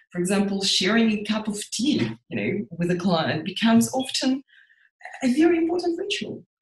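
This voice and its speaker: A somewhat breathy, fairly high-pitched woman's voice with a Russian accent, very wide pitch swings and a moderate pace. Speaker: psychotherapist. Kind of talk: interview.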